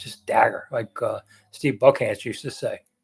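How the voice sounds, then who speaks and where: In a Washington accent, a man speaks at a moderate pace. The recording is very clean, the background silent. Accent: local Washington accent, says it with an R. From Washington DC, Anacostia. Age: old. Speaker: sports journalist and live chat host. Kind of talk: live chat answering viewer questions. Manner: blunt, casual.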